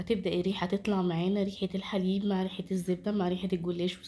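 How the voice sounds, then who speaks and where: In an Egyptian accent, a woman at medium pitch speaks at a moderate pace with monotone, flat intonation and a dark, mellow tone, on a very clean recording with a silent background. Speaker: cooking channel host. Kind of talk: cooking tutorial.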